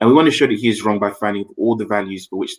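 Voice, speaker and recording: In a dry, close recording with no echo, a man talks in an unremarkable speaking voice, fairly low in pitch, with ordinary pitch variation. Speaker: maths teacher. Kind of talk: tutorial.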